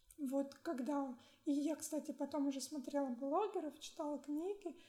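This woman's voice is high-pitched, with a dark, mellow tone. She talks at a moderate pace with ordinary pitch variation. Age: 20s. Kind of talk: interview.

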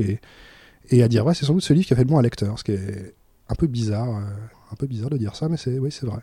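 A man at a very fast pace, medium in pitch, somewhat breathy, with ordinary pitch variation. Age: 30s. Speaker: librarian. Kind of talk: casual chat. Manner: halting.

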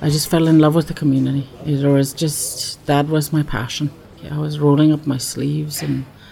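Over music in the background, a woman speaks at a moderate pace with a very deep, low pitch and monotone, flat intonation. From northern British Columbia, Canada. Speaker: community health worker and smoker documenting her life. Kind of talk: casual self-recorded audio diary and interviews. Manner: hesitant, with fillers.

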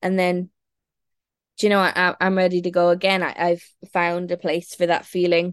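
With a western Irish accent, a woman with a fairly low pitch speaks at a moderate pace in a monotone, flat intonation, leaving long, frequent pauses. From Ireland, Galway. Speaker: singer-songwriter. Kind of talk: casual interview. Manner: halting.

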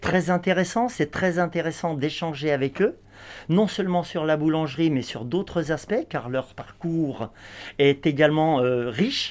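Ordinary pitch variation marks this speech, delivered at a very slow pace. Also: man. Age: 50s. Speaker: baking instructor. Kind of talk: interview. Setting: bakery workshop.

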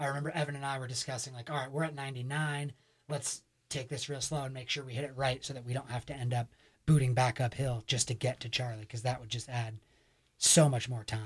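A man talks at a very fast pace in a medium pitch, somewhat breathy, with fairly even intonation. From Vermont, Burlington. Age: 20s. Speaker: backcountry skier, art installer. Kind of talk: interview testimony. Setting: radio studio.

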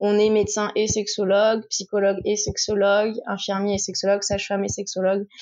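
A woman's medium-pitched voice at a fairly quick pace, monotone and flat in intonation, with very even loudness. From Touraine, France. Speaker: sexology specialist. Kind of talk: casual interview.

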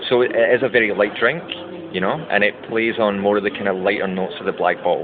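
Noticeable background noise runs under a man with a Scottish accent. He speaks at a fairly quick pace with a fairly low pitch and ordinary pitch variation. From Scotland. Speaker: brand ambassador and bartender. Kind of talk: interview. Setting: brand launch event.

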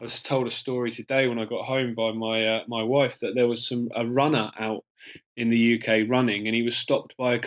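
With an English accent, a man talks very fast at a medium pitch. His intonation is monotone and flat. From England. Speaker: filmmaker. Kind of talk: casual chat.

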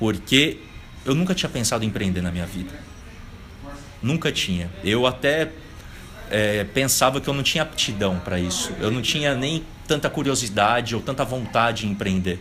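Noticeable background noise sits behind a man speaking at medium pitch and a moderate pace, with long, frequent pauses. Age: 20s. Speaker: business consultant. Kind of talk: casual interview. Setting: coworking space.

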